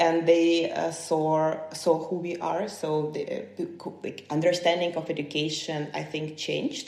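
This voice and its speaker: Against noticeable background noise and audible room echo, a woman speaks at a fairly low pitch in a monotone, flat way, fairly slowly and with hardly any pauses. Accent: Ukrainian. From Ukraine, Kyiv. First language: Ukrainian. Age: 30s. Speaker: human rights defender. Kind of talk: podcast interview. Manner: halting.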